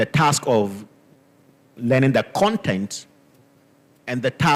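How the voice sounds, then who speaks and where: A man speaks at a fairly slow pace in a Ghanaian accent. The sound is dry and close, with no echo. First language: Dagbani. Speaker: linguistics professor. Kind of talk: panel discussion.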